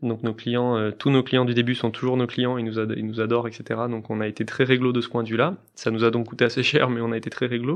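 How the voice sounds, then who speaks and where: At a fairly quick pace and with hardly any pauses, a man talks in a medium pitch with monotone, flat intonation. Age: 30s. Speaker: startup CEO. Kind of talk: interview.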